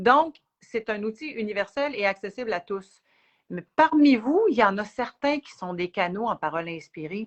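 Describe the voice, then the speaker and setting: A woman with a Quebec accent speaks at a moderate pace and a fairly high pitch, swinging very widely in pitch and greatly in loudness. The sound is dry and close, with no echo. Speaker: spiritual teacher. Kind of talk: live Q&A chat. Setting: livestream video.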